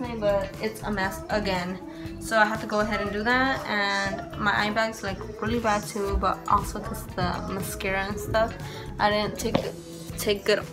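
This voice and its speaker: Clear music behind a woman talking at a moderate pace. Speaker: mother vlogger. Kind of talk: casual vlog chat. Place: kitchen. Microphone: phone near.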